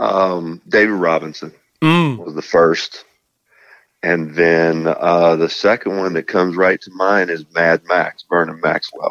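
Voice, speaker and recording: In a Southern US accent, a man with a very deep, low pitch speaks at a fairly slow pace in a monotone, flat intonation, his loudness swinging widely. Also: dry, close sound with no echo. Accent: Southern US country drawl. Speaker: basketball analyst. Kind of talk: casual chat.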